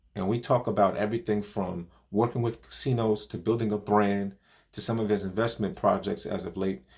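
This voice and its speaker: A man speaks at medium pitch and a moderate pace. His intonation is fairly even and his voice is somewhat breathy. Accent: New York. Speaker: poker vlogger, co-host. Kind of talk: scripted intro; casual interview. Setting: video call.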